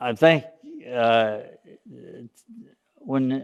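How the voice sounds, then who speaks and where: Speaking in an American accent, a man keeps his pitch at a medium level. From US South, East Tennessee (Smoky Mountains). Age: 80s+. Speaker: church senior speaking to children. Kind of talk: children's talk. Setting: church children's program. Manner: halting, with fillers.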